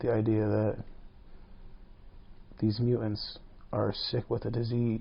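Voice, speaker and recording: A man's somewhat breathy voice, monotone and flat in intonation, at a fairly slow pace. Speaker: podcast host. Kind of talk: casual podcast monologue. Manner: whispered.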